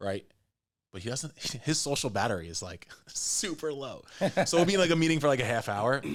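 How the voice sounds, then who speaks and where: An animated man speaks at a fairly quick pace and a fairly high pitch, with vocal fry, very wide pitch swings, big swings in loudness, and long, frequent pauses. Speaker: real estate investor and developer. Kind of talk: casual chat. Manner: fast.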